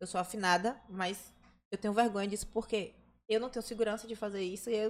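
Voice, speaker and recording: A woman talks at a medium pitch. She goes very fast, with ordinary pitch variation. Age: 20s. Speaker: dancer. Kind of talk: casual chat.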